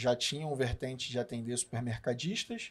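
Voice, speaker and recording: A man with a Rio de Janeiro accent at medium pitch, moderate pace, and fairly even intonation. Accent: Carioca Brazilian Portuguese. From Rio de Janeiro, Brazil. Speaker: business partner, supermarket consultant. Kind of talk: podcast conversation.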